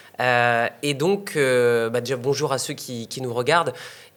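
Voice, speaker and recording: A man's medium-pitched voice with ordinary pitch variation, at a fairly slow pace, on a very clean recording with a silent background. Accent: northern French. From northern France. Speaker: online entrepreneur and investor. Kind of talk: interview. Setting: in Bali. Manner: hesitant, many fillers.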